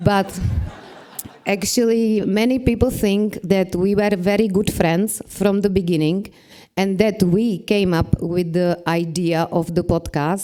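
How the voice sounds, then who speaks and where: A woman speaks with a non-native accent in a medium pitch. Her pace is fairly slow and her intonation fairly even. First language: Czech. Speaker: podcast creator and marketing manager. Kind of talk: conference presentation.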